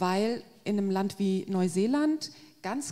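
A woman speaks in a dark, mellow tone. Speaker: agricultural policy expert; guest. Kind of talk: panel discussion. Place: hall. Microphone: handheld.

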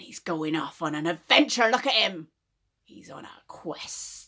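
A woman uses a put-on character voice that is raspy and fairly low in pitch, delivered at a moderate pace. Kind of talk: improvised tarot reading. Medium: stage.

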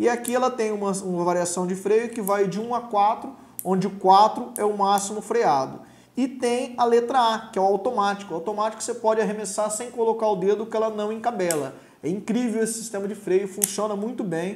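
A man's high-pitched voice moves at a fairly quick pace with fairly even intonation. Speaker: presenter. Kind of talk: tutorial. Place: studio.

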